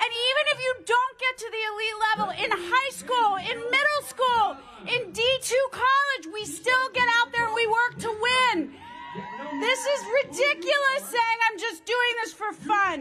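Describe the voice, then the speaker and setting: An extremely high-pitched woman with an American accent, her voice raised and projected, animated in tone with lively intonation at a fairly slow pace. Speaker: former gymnast and athletic brand founder. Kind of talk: rally speech. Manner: loud.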